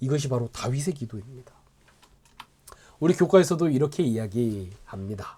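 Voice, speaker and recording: Medium-pitched male voice, dark and mellow, somewhat breathy, with lively intonation, a moderate pace and long, frequent pauses. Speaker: pastor. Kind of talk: Bible study lecture. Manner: halting, filler-heavy.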